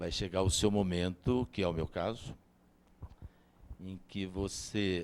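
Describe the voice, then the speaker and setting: Here is a man with a very deep, low pitch. His intonation stays fairly even. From interior of São Paulo state, Brazil. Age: 70s. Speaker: dairy farmer and consultant. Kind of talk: interview.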